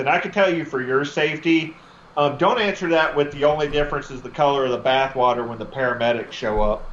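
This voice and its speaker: Noticeable background noise sits behind a man speaking fairly quickly in a fairly high voice with a Southern US accent. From Texas. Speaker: comedian, army veteran. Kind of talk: stand-up.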